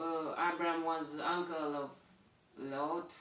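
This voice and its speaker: A man with a Romanian accent, fairly high-pitched, his intonation fairly even, with audible room echo. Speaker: bible reader. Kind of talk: bible commentary. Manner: halting, many fillers.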